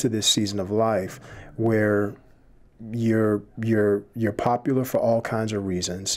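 A man speaks with an American accent in a fairly low pitch. His pace is fairly slow and his intonation fairly even. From Chicago inner city. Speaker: seminary admissions director; podcast guest. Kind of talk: casual faith discussion. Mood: calm, reflective, faith-based. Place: studio. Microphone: studio mic.

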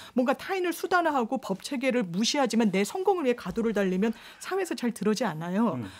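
Very wide pitch swings mark a woman's fairly high voice as she talks at a very fast pace. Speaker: lawyer. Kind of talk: radio panel discussion. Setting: radio studio. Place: studio.

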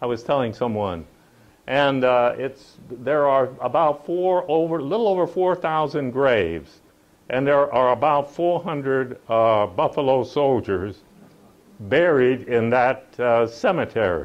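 Using an American accent, a man talks at a very slow pace in a medium pitch, with lively intonation and very even loudness. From United States. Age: 80s+. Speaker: war veteran. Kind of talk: public talk to audience. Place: hall.

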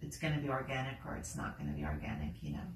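The clip has light background noise and audible room echo. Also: woman. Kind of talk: casual vlog chat. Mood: relaxed, reflective. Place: home room. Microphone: camera far.

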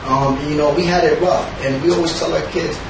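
In a room with audible echo and clear background noise, a man talks at a fairly quick pace in a fairly high voice with vocal fry and fairly even intonation.

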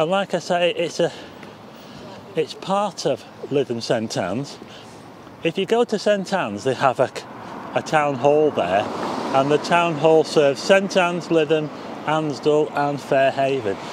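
With lively intonation, a man talks at a fairly slow pace with long, frequent pauses, the sound dry with no echo but with noticeable background noise. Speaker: walking tour vlogger. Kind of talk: casual vlog commentary. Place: street. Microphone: phone near.

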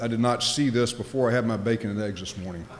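A man talks at a very fast pace, his pitch varying in an ordinary way. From Louisiana. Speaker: nuclear regulator, former naval officer; keynote speaker. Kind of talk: conference keynote speech. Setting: stage with audience. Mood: light humor early on. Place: hall. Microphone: podium.

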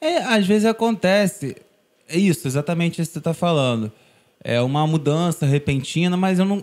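This man's voice sits high and moves with lively intonation at a moderate pace. His loudness stays very even throughout. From Brazil, Niterói, Rio de Janeiro; Rio de Janeiro, Brazil. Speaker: singer-songwriter; guest. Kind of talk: casual interview chat. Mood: warm, reflective. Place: studio. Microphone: studio mic.

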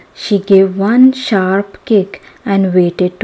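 Intonation stays fairly even as a passage is read aloud in a natural voice.

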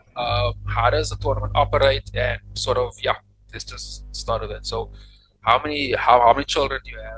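Faint music sits in the background. A man speaks at a fairly quick pace. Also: big swings in loudness. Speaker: podcast host. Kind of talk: podcast interview, casual conversation. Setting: faulty microphone, poor audio quality. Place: home room. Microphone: studio mic.

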